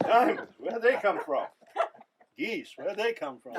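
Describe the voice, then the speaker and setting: Putting on a gruff character voice with an extremely high pitch, a man projects loudly at a moderate pace. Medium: solo performance. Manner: gruff, profane.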